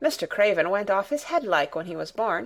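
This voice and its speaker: In a put-on character voice, a female-sounding speaker talks fairly quickly at a medium pitch with a raspy edge. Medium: read story. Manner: homely dialect.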